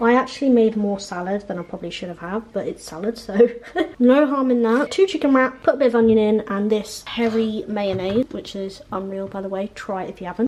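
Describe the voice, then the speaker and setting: Her pitch sits fairly high, with ordinary variation. Noticeable background noise runs underneath. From Hampshire, England. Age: 20s. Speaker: student YouTuber. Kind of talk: casual talk to camera.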